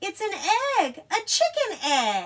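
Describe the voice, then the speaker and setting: A female-sounding, squeaky put-on character voice pitched extremely high. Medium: read story. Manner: confident, matter-of-fact.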